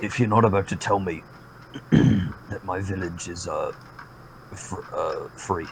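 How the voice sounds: A man speaks in a raspy, put-on character voice at a fairly slow pace with long, frequent pauses. Background noise is clearly audible.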